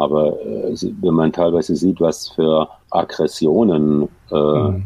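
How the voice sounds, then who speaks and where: His voice has a very deep, low pitch. This man speaks with fairly even intonation. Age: 60s. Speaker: sports physician. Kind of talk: interview. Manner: halting.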